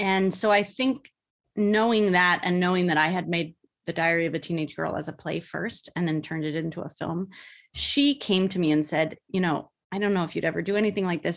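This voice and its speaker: A woman's unremarkable speaking voice with an American accent, fairly low in pitch with ordinary pitch variation, on a very clean recording with a silent background. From US West Coast, Bay Area. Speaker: film director and actress. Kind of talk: interview.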